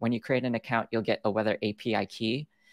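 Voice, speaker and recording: A man with vocal fry at a fairly quick pace, dry sound with no echo, and a quiet background. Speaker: presenter. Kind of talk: tutorial. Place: home room.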